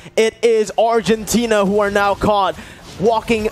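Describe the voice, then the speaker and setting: Against noticeable background noise, a man talks in a high pitch. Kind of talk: esports shoutcasting. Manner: rapid-fire, excitable play-by-play with sudden exclamations.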